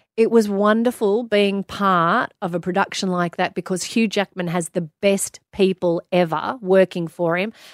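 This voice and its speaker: Spoken in an Australian accent at a moderate pace, the voice has fairly even intonation and hardly any pauses, in a dry, close sound with no echo. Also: woman, medium pitch for a woman. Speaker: music broadcaster and TV presenter. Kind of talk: casual interview chat. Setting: radio studio.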